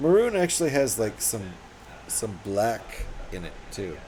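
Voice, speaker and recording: A man speaks with audible room echo. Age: 50s. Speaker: live streamer building LEGO. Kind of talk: casual live stream chat while building.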